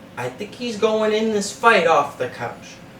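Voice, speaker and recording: A man speaks with a Boston accent in a high pitch. Noticeable background noise runs underneath. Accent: Boston-area New England. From Massachusetts (Methuen). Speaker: sports betting podcast host. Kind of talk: betting analysis monologue. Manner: animated.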